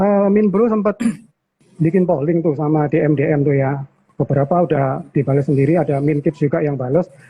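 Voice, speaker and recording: A man's fairly high, somewhat breathy voice in a strong Surabaya accent, at a fairly quick pace with ordinary pitch variation and very even loudness. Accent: strong East Javanese (Surabaya). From Indonesia, Surabaya (East Java). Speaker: channel host of investing live stream. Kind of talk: casual live-stream chat.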